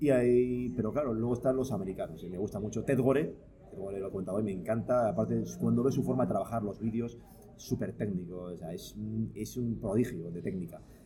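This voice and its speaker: In a room with audible echo, a man talks at a fairly quick pace, his fairly low pitch showing ordinary variation. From Palencia, northern Spain. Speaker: photographer and photo-editing teacher. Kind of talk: casual interview. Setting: studio recording with drinks.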